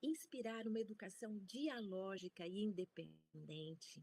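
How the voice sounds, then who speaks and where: In a normal speaking voice, a woman talks at a medium pitch with lively intonation, the sound dry and close with no echo. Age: 60s. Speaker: professor. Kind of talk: lecture.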